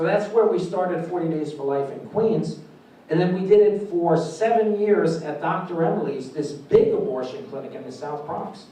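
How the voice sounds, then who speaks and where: Moderate pace in a New York accent, with audible room echo and noticeable background noise. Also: man, high pitch for a man, ordinary pitch variation, big swings in loudness. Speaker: pro-life activist and pregnancy center founder. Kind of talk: conference speech. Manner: animated.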